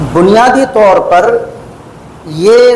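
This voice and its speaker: The high-pitched voice of a man comes through noticeable background noise and audible room echo. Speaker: Islamic scholar, lecturer. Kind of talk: religious lecture. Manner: measured, calm rather than fiery.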